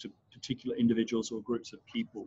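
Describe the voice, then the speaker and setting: Very fast speech from a man in an Australian accent. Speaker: trainer. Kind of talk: online class. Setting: video call.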